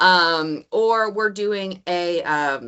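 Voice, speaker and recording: A woman with a Southern accent. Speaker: college instructor. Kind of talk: online meeting presentation. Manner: casual, filler-heavy.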